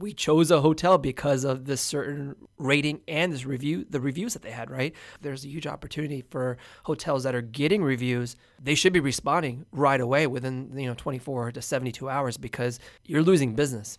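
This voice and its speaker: Using a normal speaking voice, a man talks at a fairly quick pace with fairly high pitch, ordinary pitch variation and big swings in loudness. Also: very clean recording, silent background. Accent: American. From Houston, Texas. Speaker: hotel owner and entrepreneur. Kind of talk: casual interview.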